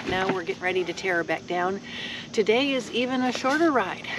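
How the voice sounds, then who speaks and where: The sound is dry with no echo, though noticeable background noise sits behind it. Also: woman. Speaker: motorcycle travel vlogger. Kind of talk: casual vlog chat. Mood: cheerful, relaxed. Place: open country. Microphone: phone near.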